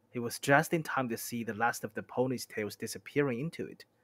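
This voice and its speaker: In a dry, close sound with no echo, a man with medium pitch uses a plain, everyday voice and ordinary pitch variation. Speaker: streamer. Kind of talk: novel reading aloud.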